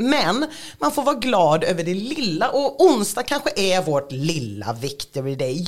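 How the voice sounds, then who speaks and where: This woman's voice has vocal fry. Her pitch swings very widely. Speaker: podcast host. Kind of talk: casual chat.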